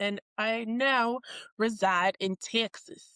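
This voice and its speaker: A woman's bright, sharp tone at a very slow pace with ordinary pitch variation, in a very clean recording with a silent background and a dry, close sound with no echo. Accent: Jamaican. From Jamaica. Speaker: podcast co-host, military service member. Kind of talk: casual chat.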